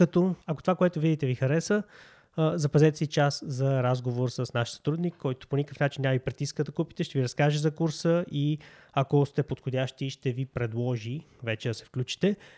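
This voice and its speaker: With a plain, everyday voice, a man speaks at a fairly high pitch and ordinary pitch variation, captured in a very clean recording with a silent background and a dry, close sound lacking echo. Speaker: YouTube host and e-commerce entrepreneur. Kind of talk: sales pitch; casual discussion.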